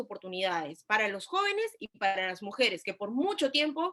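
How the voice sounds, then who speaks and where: A woman speaks in a raised, projected voice at a fairly quick pace, her pitch swinging very widely. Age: 20s. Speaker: congressional candidate. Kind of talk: political debate.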